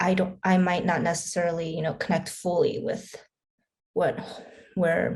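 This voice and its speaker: A woman with a Korean accent at a moderate pace, broken by long, frequent pauses. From Korea, raised in US from young age. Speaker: filmmaker. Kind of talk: panel Q&A.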